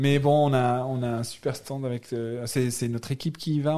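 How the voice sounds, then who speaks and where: A dark, mellow tone with monotone, flat intonation. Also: man. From Algeria, Algiers. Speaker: board game publisher. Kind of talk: casual chat. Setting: studio.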